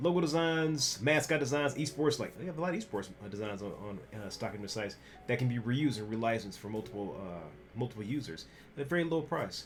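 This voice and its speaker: Over music in the background and with audible room echo, a man talks at a very fast pace, his medium pitch swinging very widely. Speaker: graphic designer and streamer. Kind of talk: casual vlog talk. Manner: halting with many fillers.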